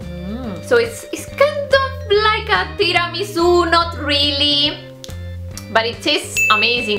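With clear music in the background, a woman talks at a fairly slow pace. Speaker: vlogger. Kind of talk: casual vlog chat, food tasting. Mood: cheerful, upbeat. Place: home room. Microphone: phone near.

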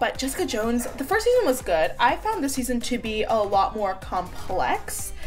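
With faint music in the background, a woman speaks at a moderate pace with hardly any pauses. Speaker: beauty vlogger. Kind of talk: casual vlog chat. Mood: relaxed, chatty, laughing. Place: home room. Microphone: phone near.

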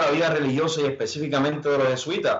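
Audible room echo on a male voice. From Puerto Rico. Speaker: Jesuit in training. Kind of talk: panel discussion. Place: home room. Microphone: video call.

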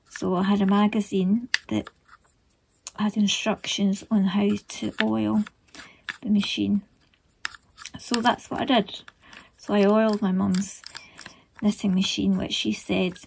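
Over light background noise, a woman speaks fairly slowly with long, frequent pauses. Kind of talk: tutorial with personal anecdote. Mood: relaxed, reminiscing. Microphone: phone near.

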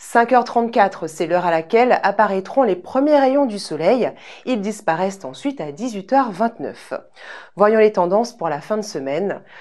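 A woman's lively intonation at a fairly slow pace, over a quiet background. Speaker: weather presenter. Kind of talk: TV weather report, scripted and read out. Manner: formal; even, polished broadcast delivery. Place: studio. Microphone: lapel.

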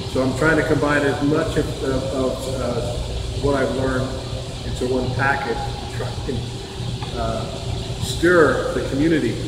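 A man at a fairly slow pace, with loud background noise and audible room echo. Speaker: church pastor. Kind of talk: church announcements. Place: hall. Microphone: camera far.

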